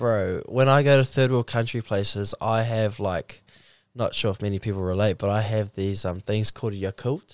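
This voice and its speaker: On a very clean recording with a silent background and a dry, close sound with no echo, a man with a New Zealand accent speaks at a moderate pace, fairly low in pitch with fairly even intonation. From New Zealand, Mount Maunganui. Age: 20s. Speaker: professional surfer. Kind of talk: casual chat.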